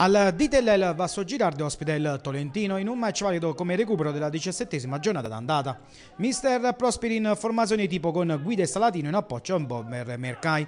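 Very fast and energetic, a man talks in an animated, high voice with very wide pitch swings over noticeable background noise. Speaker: football match commentator. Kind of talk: live-style sports commentary, recapping match highlights. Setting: voiceover on match footage. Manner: brisk, animated play-by-play delivery, rattling off minutes, names and scores; punchy, energetic, rising on goals.

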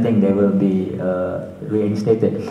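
A man speaks with a Malaysian accent in a monotone, flat intonation. The room echo is audible. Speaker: panel moderator. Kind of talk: moderated panel. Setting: stage with audience. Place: hall. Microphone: pa.

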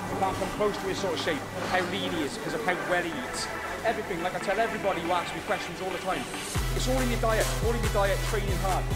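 A man talks very fast against loud background noise. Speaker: bodybuilder vlogger. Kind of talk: casual vlog chat. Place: gym.

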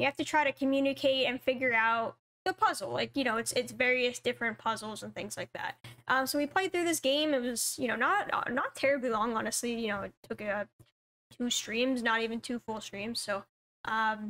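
At a fairly quick pace, a woman with high pitch speaks with ordinary pitch variation. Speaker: gaming streamer. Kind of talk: casual vlog chat. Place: home room. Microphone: webcam.

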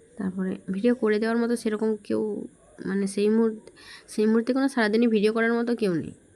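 Her fairly high voice stays monotone and flat as this woman speaks. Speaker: family vlogger. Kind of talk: vlog narration. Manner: casual, conversational.

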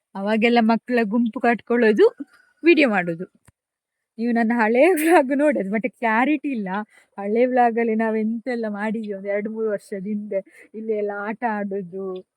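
Her pitch sits fairly high and varies in an ordinary way. The woman's sound is dry and close, with no echo. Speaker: vlogger. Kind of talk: casual vlog narration.

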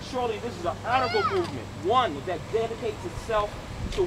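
Loud background noise runs under a voice speaking at a moderate pace. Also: man. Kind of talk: prayer. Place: open country.

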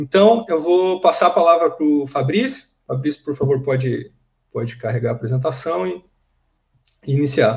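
Against a quiet background, a man talks at a moderate pace in a somewhat breathy, fairly high voice with lively intonation. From Brazil. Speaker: professor, seminar host; host introducing a speaker. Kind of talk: speaker introduction. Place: home room. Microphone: webcam.

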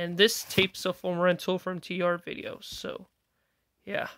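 The pace is fairly slow. The sound is dry with no echo. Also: woman. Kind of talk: casual collection showcase. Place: home room. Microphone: phone near.

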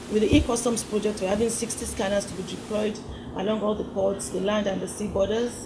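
Noticeable background noise is heard behind a woman. Her fairly high voice has a monotone, flat intonation. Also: fairly quick pace. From Nigeria. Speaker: customs official. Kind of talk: press interview. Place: office.

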